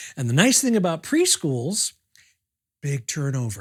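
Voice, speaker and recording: A somewhat breathy man with a fairly high voice talks at a moderate pace with very wide pitch swings, recorded very cleanly against a silent background with a dry, close sound and no echo. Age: 60s. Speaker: puppeteer. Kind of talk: documentary interview.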